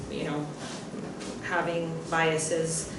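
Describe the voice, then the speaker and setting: Someone with a Bulgarian accent speaks at a fairly slow pace amid noticeable background noise and audible room echo. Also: woman. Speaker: writer and translator. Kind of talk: panel discussion. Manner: hesitant, many fillers.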